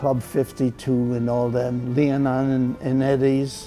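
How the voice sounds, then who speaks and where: Music plays in the background as a man with a fairly high pitch speaks at a very slow pace. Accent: American. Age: 80s+. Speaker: World War II veteran, big band drummer. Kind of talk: interview answer. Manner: sharp recall, wide smile, hint of mischief.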